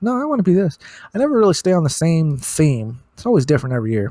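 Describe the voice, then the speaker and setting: A man's voice, dark and mellow in tone. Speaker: podcast host. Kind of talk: casual monologue. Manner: rambling, hesitant with fillers.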